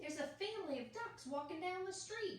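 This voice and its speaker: A loud, put-on character voice from a woman, extremely high-pitched, at a fairly quick pace, with slight echo. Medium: read story. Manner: urgent, loud.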